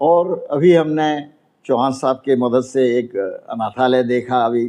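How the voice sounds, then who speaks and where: Here a man talks at medium pitch with a dark, mellow tone. His intonation stays fairly even. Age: 80s+. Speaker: elderly NRI landlord. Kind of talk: interview testimony. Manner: halting, with filler sounds.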